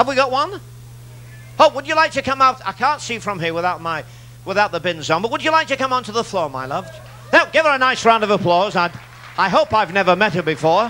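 A man speaks in a raised, projected voice at a very fast pace. Light background noise sits behind him. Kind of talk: stage show patter with audience volunteer. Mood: jokey, warm showman. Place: stage. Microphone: handheld.

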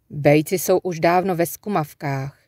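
The voice has a gentle tone and moves at a very slow pace. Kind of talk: audiobook reading aloud of a literary story. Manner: lyrical, unhurried narration with gentle pacing, hushed and dreamy in the nature passages.

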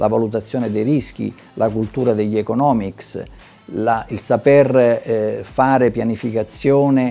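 Over faint background music, a man speaks at a fairly slow pace with fairly even intonation. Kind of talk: interview answer. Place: hall. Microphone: lapel.

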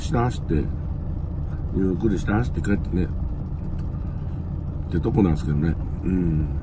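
A man's voice has a dry sound with no echo, against noticeable background noise. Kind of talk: casual vlog chat. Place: car. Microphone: phone near.

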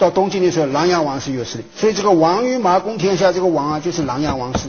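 The speaker is a man with a high pitch. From Hangzhou, Zhejiang, China; Zhejiang, China. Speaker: history professor. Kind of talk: lecture. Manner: formal, with frequent fillers. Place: hall.

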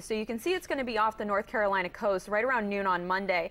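Over noticeable background noise, a woman with a fairly high pitch talks very fast. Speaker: meteorologist. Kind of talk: weather report. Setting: studio. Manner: calm, conversational and reassuring, explaining the forecast step by step; light-hearted, laughing and joking with the host.

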